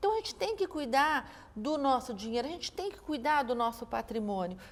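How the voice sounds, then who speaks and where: Moving at a fairly quick pace, a woman speaks at a high pitch with very wide pitch swings and big swings in loudness. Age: 60s. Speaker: investment event founder. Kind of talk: interview conversation.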